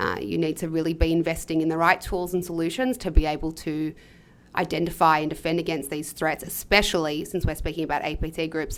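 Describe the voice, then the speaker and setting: A woman talks at a very fast pace in a fairly low pitch. The recording is very clean, with a silent background. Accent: Australian. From Australia. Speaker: podcast host. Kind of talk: podcast interview. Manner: hesitant, many fillers.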